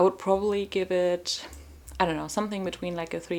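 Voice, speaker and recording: A woman talks at a moderate pace in a medium-pitched voice. Noticeable background noise runs under her speech. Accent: non-native. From Germany. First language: German. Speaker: book vlogger. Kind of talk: casual vlog talk to camera. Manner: animated.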